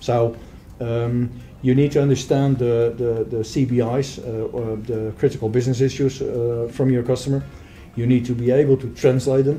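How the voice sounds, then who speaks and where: A speaker with a Dutch accent talks at a moderate pace in a monotone, flat intonation over light background noise. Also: man. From Netherlands, Rotterdam area; Netherlands. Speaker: software sales manager; interviewee. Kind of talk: interview. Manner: halting. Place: meeting room. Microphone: camera far.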